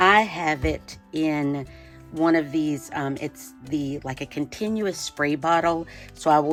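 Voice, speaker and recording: Her pitch is very deep and low, with ordinary variation, and she is a woman. Music can be heard in the background. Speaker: artist, painter. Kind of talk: art tutorial talk to camera. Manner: casual, friendly, hesitant with many fillers.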